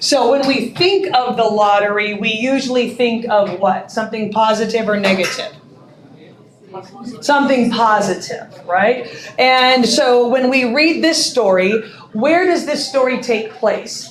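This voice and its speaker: The speech comes at a fairly slow pace with ordinary pitch variation and very even loudness. Audible room echo and noticeable background noise surround it. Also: woman, fairly high pitch for a woman. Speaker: English literature teacher. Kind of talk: classroom lecture.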